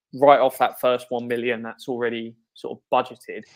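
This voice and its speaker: With a British accent, a man speaks at a fairly quick pace and a medium pitch. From Britain. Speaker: salary cap analyst, sports writer. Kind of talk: sports interview. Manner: calm.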